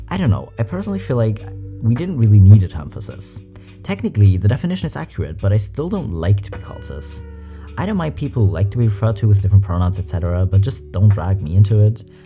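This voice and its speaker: A man at a very fast pace, fairly low in pitch with ordinary pitch variation and big swings in loudness, clear music in the background. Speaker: reaction content creator. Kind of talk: commentary and reading comments aloud. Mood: amused, light. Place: home room. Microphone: studio mic.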